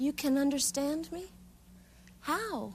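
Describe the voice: Putting on a character voice, a woman speaks slowly at a high pitch, with a slightly mellow tone and lively intonation.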